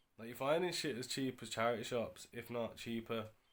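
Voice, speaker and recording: A man with a British accent, medium in pitch, with ordinary pitch variation. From UK. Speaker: eBay reseller vlogger. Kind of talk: casual vlog. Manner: casual, slang-heavy.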